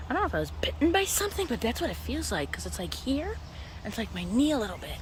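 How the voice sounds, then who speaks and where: A woman talks at a very fast pace. Her voice has audible room echo and noticeable background noise. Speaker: vlogger. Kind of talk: casual vlog narration. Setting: outdoors on a nature trail.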